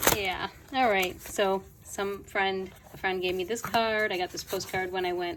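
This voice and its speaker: A woman speaks in a plain, everyday voice at a moderate pace, her medium pitch carried by fairly even intonation. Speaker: journaling hobbyist vlogger. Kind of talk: show and tell.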